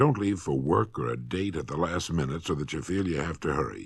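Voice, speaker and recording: A husky voice with vocal fry at a fairly quick pace, in a very clean recording with a silent background. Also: man. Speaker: motivational speaker. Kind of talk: vintage spoken-word record, instructional lecture. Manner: stern, scolding.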